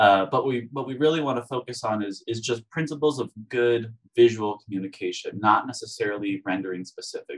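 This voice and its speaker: A man's normal speaking voice at a medium pitch, with ordinary pitch variation, a fairly quick pace and hardly any pauses, in a dry, close sound with no echo. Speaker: industrial designer and design instructor. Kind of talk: webinar presentation.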